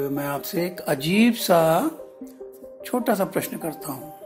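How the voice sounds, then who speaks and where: Over music in the background, a man speaks in a warm tone with very wide pitch swings. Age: old. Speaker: storyteller. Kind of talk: podcast storytelling to children. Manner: warm, conversational.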